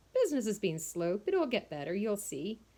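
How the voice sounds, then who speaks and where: At a fairly quick pace, a woman of medium pitch performs a put-on character voice. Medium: read story. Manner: gruff, offhand.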